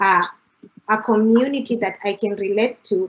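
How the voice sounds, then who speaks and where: A woman with an East African accent and a fairly high pitch. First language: Swahili. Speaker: international graduate student panelist. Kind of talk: panel discussion. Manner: frequent fillers (uh, you know, like).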